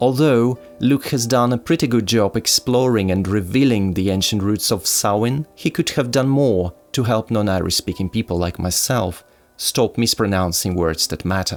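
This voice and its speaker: The speech moves at a moderate pace with hardly any pauses. Pitch varies in an ordinary way. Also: man, medium pitch for a man. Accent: Russian. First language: Russian. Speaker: YouTuber reviewing druidry books. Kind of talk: book review. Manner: formal.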